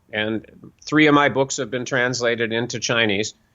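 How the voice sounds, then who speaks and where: This man has an ordinary speaking voice, pitched at a medium level. His pace is moderate, and his pitch varies in an ordinary way. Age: 60s. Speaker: author and self-help teacher. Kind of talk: casual interview.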